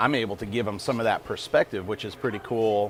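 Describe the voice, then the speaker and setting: There is noticeable background noise behind this voice. A man speaks at a fairly quick pace. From Tennessee, Nashville. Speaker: business accelerator staff, entrepreneur. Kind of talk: casual chat. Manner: animated.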